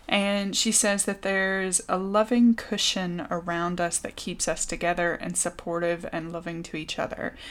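A woman speaks with an American accent at a moderate pace, barely pausing. Her intonation stays fairly even, and the recording is very clean with a silent background. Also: medium pitch for a woman. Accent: American accent noticed in UK. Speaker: podcast co-host. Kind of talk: casual chat.

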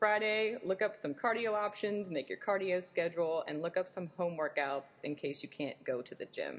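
A woman with a plain, everyday voice, medium pitch, ordinary pitch variation and moderate pace. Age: 20s. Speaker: bikini fitness competitor. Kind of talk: casual chat.

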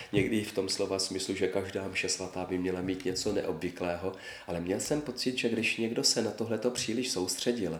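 A man talks at a moderate pace with a fairly low pitch and ordinary pitch variation. The room echo is audible. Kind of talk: interview.

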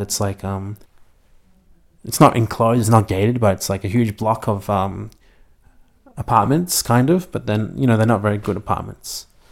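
With an Australian accent, a man speaks at a fairly quick pace in a fairly low voice with ordinary pitch variation. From Melbourne, Australia. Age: 20s. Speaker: university student. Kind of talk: interview. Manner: halting.

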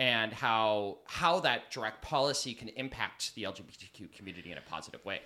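An American-accented man at a medium pitch, bright and sharp in tone, with lively intonation, big swings in loudness, and a fairly quick pace. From California, Sonora and Hollister. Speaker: political activist and drag performer. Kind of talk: casual interview. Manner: hesitant, many fillers.

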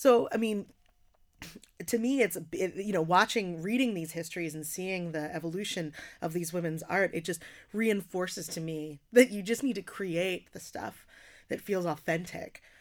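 A woman has a normal speaking voice with medium pitch and ordinary pitch variation, talking at a moderate pace. Her loudness swings widely in a very clean recording with a silent background. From US Northeast, working-class Philadelphia. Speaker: poet and slam performer. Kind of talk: casual interview conversation.

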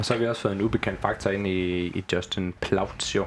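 A man with a fairly low pitch and monotone, flat intonation, amid noticeable background noise. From Southern Jutland, Denmark. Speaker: football club fan and former club graphic designer. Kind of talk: casual chat. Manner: halting with repeated words.

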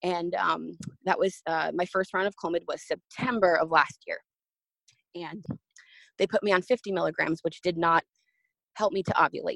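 A woman speaks at a moderate pace with long, frequent pauses, and the sound is dry and close with no echo. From New Jersey. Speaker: theme park worker sharing miscarriage story. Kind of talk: testimony. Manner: hesitant, many fillers.

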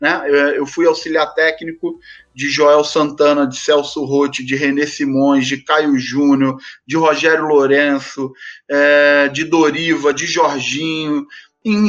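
In a normal speaking voice, a man talks at a fairly slow pace, his fairly high pitch held in fairly even intonation. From Rio de Janeiro suburbs, Brazil. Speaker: football coach. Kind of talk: podcast interview.

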